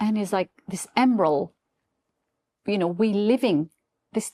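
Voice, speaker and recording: A woman speaks with a non-native accent in a dark, mellow tone. Her pitch varies in an ordinary way, and the sound is dry and close with no echo. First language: not English. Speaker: business founder. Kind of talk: interview. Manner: halting.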